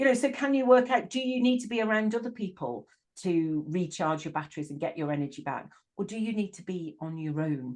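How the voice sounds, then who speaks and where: A woman with a northern English accent speaks at a fairly quick pace and medium pitch. Her voice makes very wide pitch swings and big swings in loudness. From northern England. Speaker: life coach. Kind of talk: casual interview chat. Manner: halting, repeats words.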